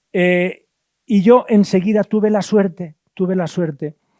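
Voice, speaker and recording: The voice has a dark, mellow tone, recorded very cleanly against a silent background with a dry, close sound and no echo. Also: man. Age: 70s. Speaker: priest and former missionary. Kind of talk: lecture; reading aloud. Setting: auditorium with audience.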